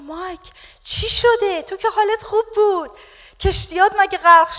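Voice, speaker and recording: The pace is fairly slow. The speaker is a woman. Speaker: pastor preaching. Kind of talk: sermon. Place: church. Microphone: handheld.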